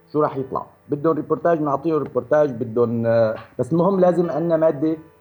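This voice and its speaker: A normal speaking voice from a man, fairly high in pitch, with lively intonation. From Syria. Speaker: film director. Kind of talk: radio interview. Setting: radio studio.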